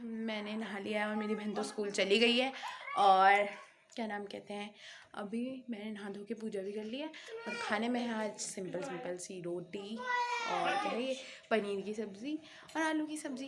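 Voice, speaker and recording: A woman's fairly high-pitched voice with ordinary pitch variation, audible room echo and noticeable background noise. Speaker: vlogger. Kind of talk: casual vlog narration. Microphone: new mic just arrived.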